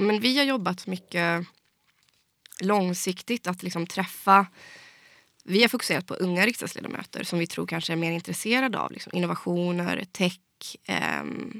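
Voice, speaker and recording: With a normal speaking voice, a woman talks at a medium pitch and a moderate pace with ordinary pitch variation. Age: 20s. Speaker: fintech industry association head. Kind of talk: interview.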